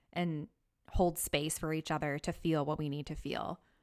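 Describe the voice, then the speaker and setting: A woman with an American accent speaks at a moderate pace. Her pitch is very deep and low, with fairly even intonation. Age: 30s. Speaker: podcast host. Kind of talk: casual interview chat. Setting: remote call.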